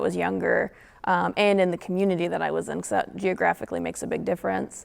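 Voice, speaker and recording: Over a silent background on a very clean recording, a woman talks at a fairly quick pace with a Midwestern US accent. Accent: US Midwest. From northern Indiana. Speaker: panelist. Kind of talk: panel discussion. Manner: halting.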